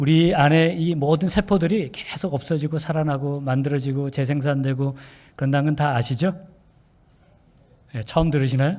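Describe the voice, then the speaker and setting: Speaking at a moderate pace with long, frequent pauses, a man with a fairly high voice and a dark, mellow tone keeps his intonation fairly even. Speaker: pastor. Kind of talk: sermon. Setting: church.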